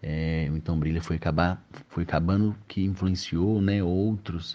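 Speaking fairly slowly, a man with a very deep, low voice keeps his intonation fairly even. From Minas Gerais, Brazil (moved to Belo Horizonte at 10). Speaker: musician and carnival band conductor. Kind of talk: recorded testimony.

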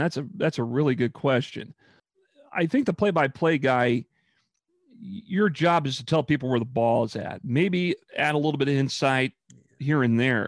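With an American accent and an ordinary speaking voice, a man talks at a fairly high pitch and a moderate pace with lively intonation, in a dry, close sound with no echo. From Lincoln, Nebraska. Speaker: radio sportscaster. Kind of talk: interview.

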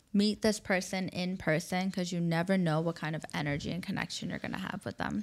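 A woman with a fairly low pitch talks at a fairly quick pace, with hardly any pauses. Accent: New York. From New York. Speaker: matchmaker, agency founder. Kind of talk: interview conversation. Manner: animated.

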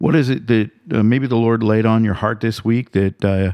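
Medium pitch and a dark, mellow tone from a man, against a quiet background. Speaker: radio host. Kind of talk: casual interview.

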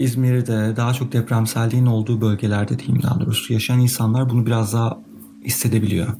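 Noticeable background noise behind a man's voice of medium pitch. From Turkey, Izmir. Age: 30s. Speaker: podcast host, planetary geology PhD student. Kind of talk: solo podcast monologue.

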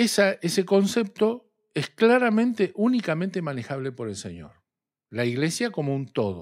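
A man's high voice with very wide pitch swings at a moderate pace, on a very clean recording with a silent background. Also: big swings in loudness. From Argentina, southern Santa Fe province. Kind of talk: religious discussion.

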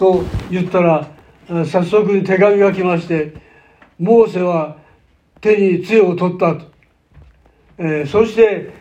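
Audible room echo surrounds a man speaking very slowly in a high voice. His intonation stays fairly even, with long, frequent pauses. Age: 90s. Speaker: pastor. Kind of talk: sermon.

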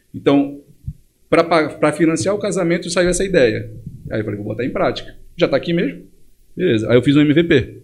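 This man has a fairly high pitch with vocal fry and lively intonation. He moves at a fairly quick pace but takes long, frequent pauses. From Brazil, Pará (Belém and Monte Dourado). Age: 30s. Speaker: entrepreneur. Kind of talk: casual interview.

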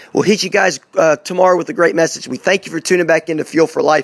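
A very fast pace with hardly any pauses. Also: man, dry, close sound with no echo. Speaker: radio show host. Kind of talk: sales pitch and show sign-off. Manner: upbeat, motivational.

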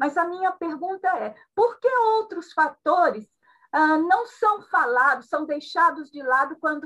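A woman's bright, sharp tone comes through as she talks fairly slowly. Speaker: gerontology channel co-host. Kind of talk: interview questions.

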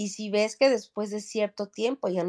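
In a dry, close sound with no echo, a woman talks at a moderate pace. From Mexico City. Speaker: entrepreneur and startup coach. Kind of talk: interview. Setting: video call from vacation in the Mexican Caribbean.

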